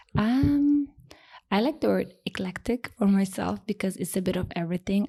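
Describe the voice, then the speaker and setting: A woman in a Turkish accent at a moderate pace. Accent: foreign accent (Turkish). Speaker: home stager and interior designer. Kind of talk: podcast interview.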